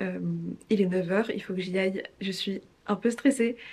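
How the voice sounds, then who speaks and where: A woman's somewhat breathy voice. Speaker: vlogger. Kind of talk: casual vlog talk to camera. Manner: fast.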